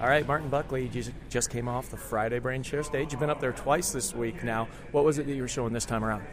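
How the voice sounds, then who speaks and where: Over background music, a man talks at a very fast pace with hardly any pauses and fairly even intonation. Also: medium pitch for a man. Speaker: podcast host. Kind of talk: casual interview chat. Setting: backstage at conference.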